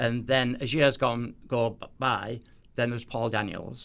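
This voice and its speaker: A man with a Teesside accent, at a fairly slow pace. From northeast England, near Middlesbrough. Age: 70s. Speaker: magician. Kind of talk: casual chat. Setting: studio.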